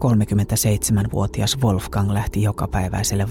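A man talks in a fairly low voice while noticeable background noise carries on around him. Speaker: true-crime podcast narrator. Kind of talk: true-crime narration, scripted storytelling.

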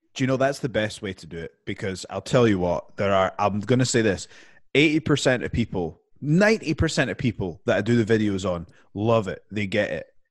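A man talks in a British accent, his voice fairly low in pitch. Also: lively intonation, moderate pace. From UK. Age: 30s. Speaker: professional wrestler. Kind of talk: casual chat.

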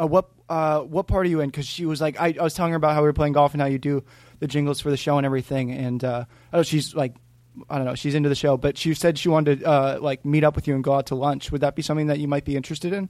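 At a very fast pace, a man speaks in a fairly high, monotone voice with flat intonation. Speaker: caller.

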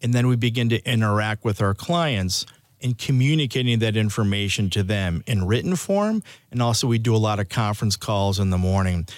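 A man with an American accent uses a normal speaking voice, fairly low in pitch with ordinary variation. He talks at a fairly quick pace with very even loudness, on a very clean recording with a silent background. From US Midwest, Chicago. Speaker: meteorologist. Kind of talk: interview.

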